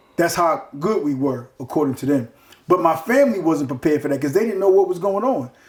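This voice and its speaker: A loud man talks at a very fast pace and a high pitch. His intonation is lively. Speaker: former bank robber interviewee. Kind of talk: casual interview. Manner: forceful, passionate delivery.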